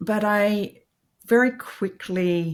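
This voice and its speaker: A woman with an Australian accent speaks with lively intonation on a very clean recording with a silent background. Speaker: IT executive. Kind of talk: interview.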